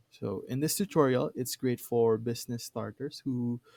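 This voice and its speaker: A man speaks with a dark, mellow tone and fairly even intonation. The sound is dry and close, with no echo. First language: not English. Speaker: tutorial creator. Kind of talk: tutorial. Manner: hesitant, many fillers.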